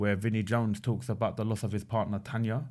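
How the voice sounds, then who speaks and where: On a very clean recording with a silent background, a man talks at a very fast pace and a medium pitch. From England, Pakistani heritage. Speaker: spoken word poet. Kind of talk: casual chat.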